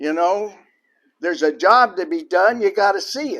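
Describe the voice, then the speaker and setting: Lively intonation at a moderate pace in a very clean recording with a silent background. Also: man. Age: 70s. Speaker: retired business owner and lay preacher. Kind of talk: personal talk to an audience.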